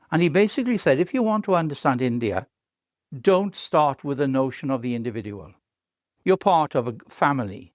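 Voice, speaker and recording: A man speaks at a fairly quick pace with a fairly high pitch and very wide pitch swings, on a very clean recording with a silent background. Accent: Welsh. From Wales. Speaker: professor. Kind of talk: interview. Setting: podcast.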